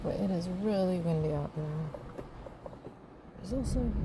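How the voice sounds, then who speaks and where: A woman speaks at a very slow pace. The sound is dry with no echo, with noticeable background noise. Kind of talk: casual narration while painting. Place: car. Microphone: phone near.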